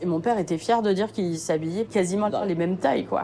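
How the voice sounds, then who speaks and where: Her pitch sits in the medium range for a woman, with ordinary variation. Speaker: documentary subject. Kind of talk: testimony. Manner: halting.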